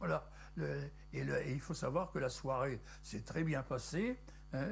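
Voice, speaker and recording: Very slow speech from a man. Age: 80s+. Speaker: local museum keeper, collector. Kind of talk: guided tour talk. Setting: small museum. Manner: halting, repeats words.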